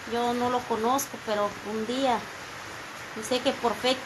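Noticeable background noise sits behind a woman whose high-pitched voice stays monotone and flat. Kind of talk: heartfelt thanks and religious testimony. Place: home room. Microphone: phone near.

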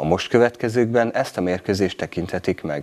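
Speaking at a moderate pace, a man has a plain, everyday voice, fairly low in pitch with ordinary pitch variation. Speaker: local TV announcer. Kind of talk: news reading. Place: studio.

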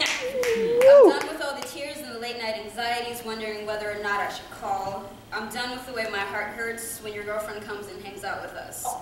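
A woman speaks with hardly any pauses and ordinary pitch variation, through audible room echo and loud background noise. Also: moderate pace. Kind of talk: poetry reading. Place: hall. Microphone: camera far.

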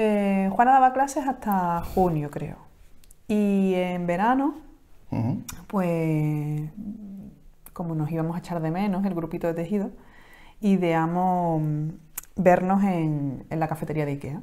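A woman's fairly low, dark, mellow voice in an Andalusian accent, at a fairly slow pace with lively intonation and long, frequent pauses. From Palma del Río, Córdoba, Andalusia. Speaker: knitting podcast co-host. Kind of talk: casual chat. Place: home room. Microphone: lapel.

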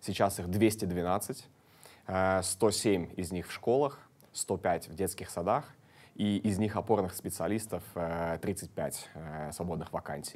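The pace is very slow, with long, frequent pauses. Pitch varies in an ordinary way. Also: man, very deep, low pitch for a man. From Estonia, Tallinn; Estonia. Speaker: city deputy mayor. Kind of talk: studio interview. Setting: studio. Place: studio. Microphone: lapel.

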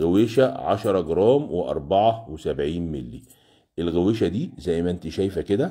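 Very slowly and with very wide pitch swings, a man with an Egyptian accent speaks in a dark, mellow tone against a quiet background. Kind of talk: live sales stream. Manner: animated. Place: shop. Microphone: phone near.

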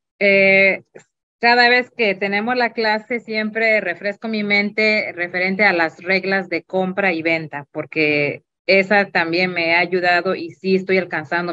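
A woman with an unremarkable speaking voice talks at a fairly slow pace in a medium pitch, with ordinary pitch variation and a quiet background. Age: 30s. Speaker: student investor. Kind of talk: testimony. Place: home room. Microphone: webcam.

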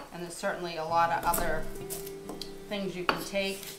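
A woman is speaking. There is noticeable noise in the background. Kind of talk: casual vlog chat. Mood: reflective, somewhat rueful. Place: kitchen. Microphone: camera far.

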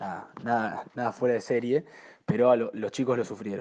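Medium in pitch and dark, mellow in tone, a man speaks at a moderate pace. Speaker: rugby coach and player. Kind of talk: recorded message.

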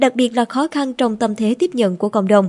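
A woman speaks at a high pitch with lively intonation. The sound is dry and close, with no echo. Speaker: news presenter. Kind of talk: news reading. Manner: formal.

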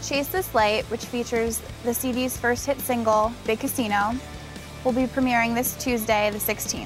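With clear music in the background and a dry sound with no echo, a woman speaks at a fairly quick pace. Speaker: presenter. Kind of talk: entertainment news presenting. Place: open country. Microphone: lapel.

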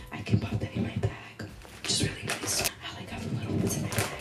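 A woman talks at a fairly quick pace. Clear music sits in the background. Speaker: vlogger. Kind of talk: casual ASMR snack-tasting vlog chat. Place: home room.

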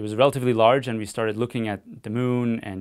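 Moderate-paced male speech against a quiet background. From Austria. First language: German. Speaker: physicist and analog astronaut. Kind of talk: interview answers. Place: studio.

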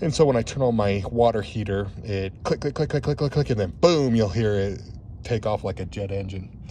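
Fairly low in pitch, a man's somewhat breathy voice has a dark, mellow tone and lively intonation, recorded dry with no echo and light background noise. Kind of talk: casual walkthrough tour. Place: open country. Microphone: phone near.

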